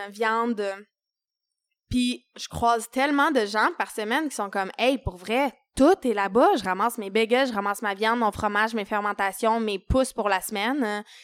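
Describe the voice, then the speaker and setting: A woman speaks with a Quebec accent and ordinary pitch variation. The recording is very clean, with a silent background. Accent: Québécois French. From Quebec, Eastern Townships (Saint-Césaire). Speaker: chef and restaurant owner. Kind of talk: casual interview.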